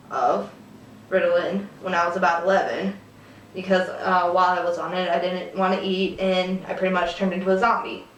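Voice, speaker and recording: At a fairly quick pace, a woman talks in a medium pitch over noticeable background noise. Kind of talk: casual talk to camera. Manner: hesitant, with fillers.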